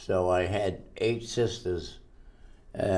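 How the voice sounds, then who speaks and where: The speech is very slow, in an American accent with ordinary pitch variation. Audible room echo is present. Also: man. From Massachusetts, US. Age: 100s. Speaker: centenarian interviewee. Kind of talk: life-story interview. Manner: halting.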